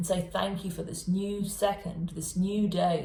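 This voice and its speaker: At a fairly slow pace, a woman talks at a medium pitch, with audible echo from the room. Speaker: tarot reader. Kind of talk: tarot reading monologue. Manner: animated.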